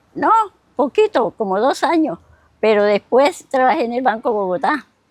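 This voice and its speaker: At a moderate pace, the voice swings very widely in pitch, its sound dry and close with no echo. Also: woman, high pitch for a woman. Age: 80s+. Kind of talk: interview answer.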